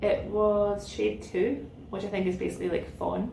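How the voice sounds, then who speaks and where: With a Scottish accent, a woman speaks at a moderate pace over noticeable background noise and audible room echo. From Scotland, central belt, west of Glasgow. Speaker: knitting podcaster. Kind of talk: casual chat.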